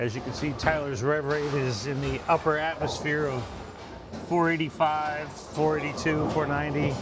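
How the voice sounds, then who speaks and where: Fairly even intonation comes through with audible room echo and music in the background. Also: man, fairly high pitch for a man, moderate pace. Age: 60s. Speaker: bowling coach. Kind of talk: ball review commentary.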